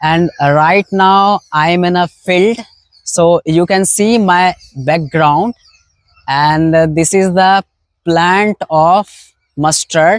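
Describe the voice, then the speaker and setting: With a high pitch and a very slow pace, a man talks in very even loudness and fairly even intonation, leaving long, frequent pauses in a dry, close sound with no echo. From India. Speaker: English learner vlogger. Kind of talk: casual vlog talk to camera. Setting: outdoors in a mustard field. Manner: halting, frequent fillers and restarts.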